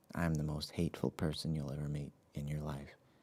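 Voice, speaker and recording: A soft-spoken man with a very deep, low pitch and monotone, flat intonation. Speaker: live-stream show host. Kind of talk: casual solo live stream.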